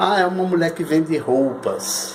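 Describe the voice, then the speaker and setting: A man speaks in a high-pitched voice. There is noticeable background noise. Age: 60s. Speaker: lawyer and anti-cult activist. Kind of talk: personal testimony monologue. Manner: halting, repetitive.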